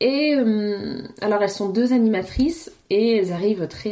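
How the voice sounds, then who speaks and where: A woman with a dark, mellow tone lets her pitch vary in an ordinary way. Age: 30s. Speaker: podcast host, mother. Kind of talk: casual solo monologue. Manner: hesitant, many repetitions.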